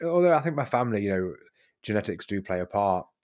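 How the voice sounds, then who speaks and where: A man with a British accent, medium pitch and lively intonation, in a very clean recording with a silent background. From UK. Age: 30s. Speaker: transformational coach. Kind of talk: casual chat.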